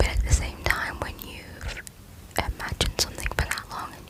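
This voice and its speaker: Over noticeable background noise, the woman whispers at a moderate pace. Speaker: ASMR creator. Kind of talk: asmr whisper ramble, casual talk to camera. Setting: bedroom, home microphone. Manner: whispered, soft-spoken.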